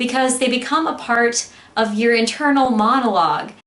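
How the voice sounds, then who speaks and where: This woman speaks in a high voice with ordinary pitch variation, and some room echo can be heard. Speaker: podcast host. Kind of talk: anniversary monologue. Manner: loud.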